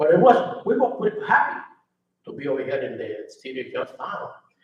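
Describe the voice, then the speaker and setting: Speaking at a fairly quick pace, a man has a Spanish accent. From Puerto Rico, rural. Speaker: retired steel mill worker, community founder. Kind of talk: personal testimony at a public presentation.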